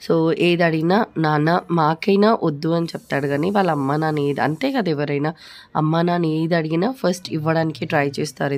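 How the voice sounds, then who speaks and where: A woman with a very deep, low voice speaks with ordinary pitch variation and very even loudness. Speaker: family vlogger. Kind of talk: casual talk to camera. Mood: fond, remembering late grandfather. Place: home room. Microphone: phone near.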